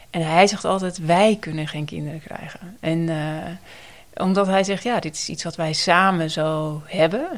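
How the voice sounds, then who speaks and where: A woman's fairly low voice, fairly slow and with fairly even intonation, over noticeable background noise. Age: 40s. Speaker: nurse educator and researcher. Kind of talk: interview about personal experience.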